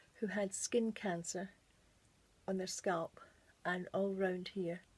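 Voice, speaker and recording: In a British accent, a woman speaks very slowly, somewhat breathy and in a monotone, flat intonation. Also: medium pitch for a woman. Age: 60s. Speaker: beauty vlogger. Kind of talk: makeup tutorial. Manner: casual, chatty.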